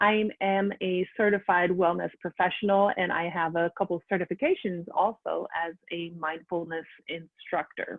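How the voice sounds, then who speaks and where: With a slight French accent, this woman speaks at a fairly low pitch and a moderate pace, her intonation fairly even and hardly any pauses. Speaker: wellness coach and teacher. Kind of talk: conference presentation. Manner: many hesitations (uh, um).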